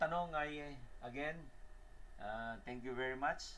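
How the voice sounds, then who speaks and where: A fairly slow pace from a male speaker. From Philippines. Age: 60s. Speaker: electrical engineer and instructor; instructor. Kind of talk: lecture. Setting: live stream. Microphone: webcam.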